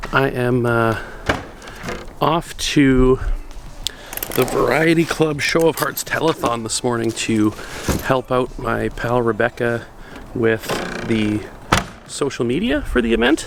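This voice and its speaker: A man's medium-pitched voice at a fairly slow pace, with fairly even intonation, long, frequent pauses and noticeable background noise. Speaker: photography youtuber. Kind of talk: casual vlog. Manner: hesitant, many fillers.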